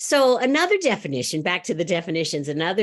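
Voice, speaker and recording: The speaker is a woman. Her pitch moves up and down very widely. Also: quiet background. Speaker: speaker at a spiritual church service. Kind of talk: sermon. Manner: loud; animated.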